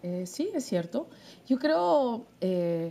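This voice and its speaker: A woman's medium-pitched voice, dark and mellow in tone with lively intonation, on a very clean recording with a silent background. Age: 40s. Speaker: writer and social communicator. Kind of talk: interview.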